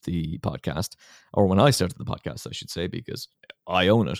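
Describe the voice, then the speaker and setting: A man with lively intonation, in a very clean recording with a silent background and a dry, close sound with no echo. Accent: Irish. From Ireland, County Kilkenny. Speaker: podcast host and radio broadcaster. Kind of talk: casual interview.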